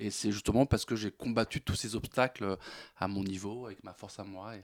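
Recorded very cleanly with a silent background and a dry, close sound without echo, a man with a fairly low pitch speaks at a moderate pace with fairly even intonation. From France, Seine-Saint-Denis. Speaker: comedian. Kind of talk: radio interview. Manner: halting, many repetitions.

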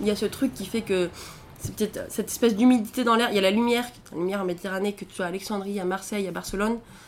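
A woman talks at a very fast pace with a medium pitch and fairly even intonation. Her loudness swings widely. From rural central France (Allier). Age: 20s. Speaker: traveller. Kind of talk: interview testimony. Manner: casual, hesitant.

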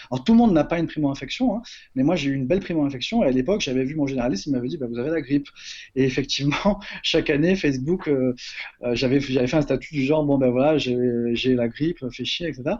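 A man's voice sits fairly high. He rattles along very fast, and the pitch varies in an ordinary way. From Marseille, southern France. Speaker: HIV-positive activist. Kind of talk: interview. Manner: halting.

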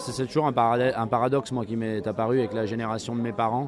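A man talks at a medium pitch while noticeable noise sounds in the background. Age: 40s. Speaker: comic book writer. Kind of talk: interview. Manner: halting, many repetitions and hesitations.

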